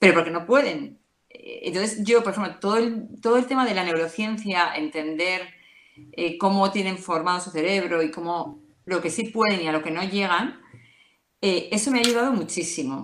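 A woman's medium-pitched voice, a normal speaking voice, at a moderate pace with ordinary pitch variation. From Madrid, Spain. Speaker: mother giving testimony. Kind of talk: testimony.

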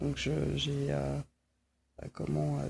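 A woman at a very slow pace. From Brittany, Quimper. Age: 40s. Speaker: interviewee. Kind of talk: personal testimony. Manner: halting, many fillers.

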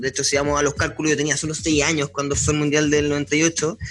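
A man with a Chilean accent speaks at a very fast pace and fairly high pitch. Noticeable background noise runs behind him. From Chile, Punta Arenas. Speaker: sports journalist. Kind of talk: casual chat.

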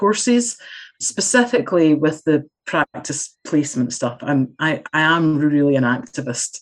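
A woman with a Scottish accent and a very deep, low pitch at a moderate pace. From Scotland. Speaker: community development specialist and lecturer. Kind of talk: casual interview chat.

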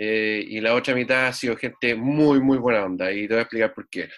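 Here a man talks at medium pitch and a moderate pace. His intonation stays fairly even. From Chile. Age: 30s. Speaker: musician. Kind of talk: casual interview. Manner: halting, repeats words.

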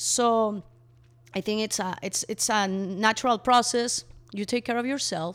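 A woman speaks with a Mexican accent. Her pitch is medium. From Mexico. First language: Spanish. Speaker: co-founder of a refill store. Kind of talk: interview.

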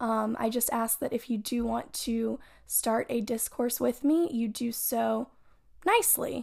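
A woman with a high pitch, on a very clean recording with a silent background. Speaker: solo podcast host. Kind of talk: personal monologue. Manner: emotional, off the cuff.

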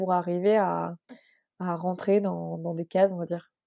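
A woman's dark, mellow, medium-pitched voice, dry and close with no echo, over a quiet background. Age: 20s. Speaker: podcast host. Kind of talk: interview.

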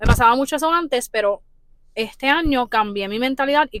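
A woman speaks in a plain, everyday voice at a moderate pace. Her intonation is lively. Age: 20s. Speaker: podcast host. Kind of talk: casual chat.

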